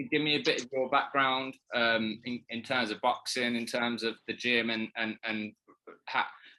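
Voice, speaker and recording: A man speaks at a medium pitch and moderate pace with a slight Birmingham accent. His bright, sharp tone stays monotone and flat over a quiet background. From Birmingham, England. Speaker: interviewer. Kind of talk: interview. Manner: halting.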